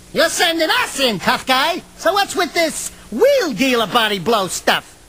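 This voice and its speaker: This put-on character voice sits at a high pitch and moves at a moderate pace. Its pitch swings very widely. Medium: machinima. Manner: wisecracking, slangy.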